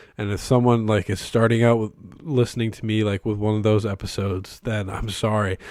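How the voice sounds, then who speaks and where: On a very clean recording with a silent background, a man talks at a moderate pace, fairly low in pitch with fairly even intonation. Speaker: podcast host. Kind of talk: casual solo podcast talk. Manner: hesitant, many fillers.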